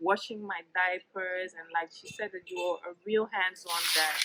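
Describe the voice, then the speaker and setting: A woman with a bright, sharp tone speaks at a medium pitch and a moderate pace. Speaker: YouTube family vlogger. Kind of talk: sit-down interview, asking questions.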